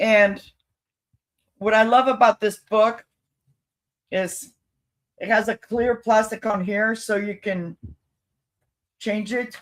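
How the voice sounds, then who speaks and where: The speech is very slow and monotone, with flat intonation and long, frequent pauses, in a dry, close sound with no echo. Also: woman, fairly high pitch for a woman. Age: 70s. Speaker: thrift reseller. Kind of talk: live sales stream.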